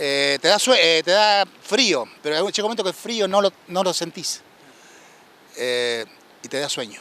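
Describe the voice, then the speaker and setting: With an Argentine accent, a high-pitched man speaks at a fairly slow pace with very wide pitch swings against noticeable background noise. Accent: Rioplatense Argentine Spanish. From Argentina, Copetonas (Buenos Aires province). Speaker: war veteran, shipwreck survivor. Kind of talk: interview testimony. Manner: halting.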